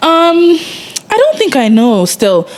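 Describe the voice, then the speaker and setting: A woman speaks at a moderate pace, her pitch swinging very widely. Noticeable background noise runs underneath. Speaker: podcast co-host. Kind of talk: casual chat.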